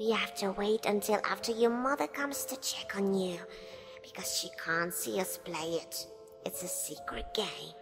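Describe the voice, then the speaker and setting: A female-sounding put-on character voice at a moderate pace, with clear music in the background. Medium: read story. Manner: coaxing, friendly.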